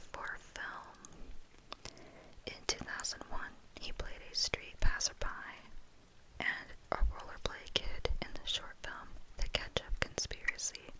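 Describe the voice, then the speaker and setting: Someone whispers at a very slow pace with long, frequent pauses. Noticeable background noise is present. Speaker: ASMR content creator. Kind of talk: whispered ASMR wiki read. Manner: whispered, soft, relaxing.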